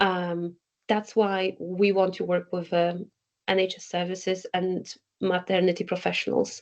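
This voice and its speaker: With a Polish accent, a woman speaks at medium pitch in a monotone, flat intonation. She talks at a fairly slow pace. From Poland. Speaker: community organization co-founder. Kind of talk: podcast interview. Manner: halting.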